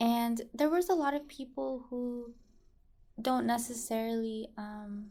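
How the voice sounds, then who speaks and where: Soft-spoken, with an American accent, a woman uses a dark, mellow tone at a fairly high pitch, with ordinary pitch variation and a fairly slow pace. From Richmond, California, US. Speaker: musician and rapper. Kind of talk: interview conversation.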